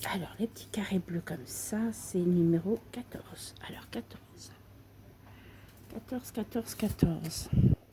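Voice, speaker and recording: Whispering at a fairly slow pace, a woman leaves long, frequent pauses while her loudness swings widely over noticeable background noise. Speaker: craft video creator. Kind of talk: tutorial. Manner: soft-spoken.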